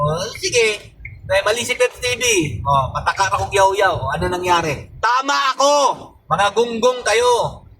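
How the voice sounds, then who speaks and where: Over noticeable background noise, a man with a high pitch talks fairly slowly in a raised, projected voice, his pitch swinging very widely while his loudness stays very even. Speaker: political commentator vlogger. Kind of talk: angry political rant. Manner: scolding, sarcastic, taunting the young protesters; loud, emphatic, mocking with repeated 'di ba?' tags.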